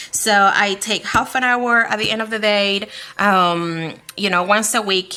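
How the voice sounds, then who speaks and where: Her voice shows ordinary pitch variation. A woman is talking. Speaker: beauty vlogger, mom. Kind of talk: tutorial. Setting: at home. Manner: hesitant, many fillers.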